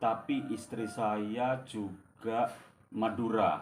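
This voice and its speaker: A man with a Javanese accent, medium pitch and fairly even intonation, at a very slow pace, with audible room echo. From East Java, Indonesia (Banyuwangi). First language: Javanese (speaking Indonesian). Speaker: storyteller. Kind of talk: casual storytelling. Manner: halting, many fillers.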